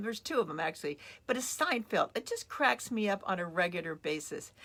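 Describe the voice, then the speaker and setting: A woman's bright, sharp, animated voice with very wide pitch swings at a very fast pace. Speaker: motivational coach. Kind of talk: motivational talk. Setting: on a boat, live stream.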